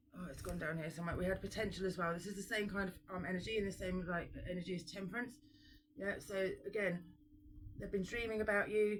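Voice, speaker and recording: Somewhat breathy, a woman talks at a very fast pace with fairly even intonation. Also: medium pitch for a woman. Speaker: tarot reader. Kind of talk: tarot reading.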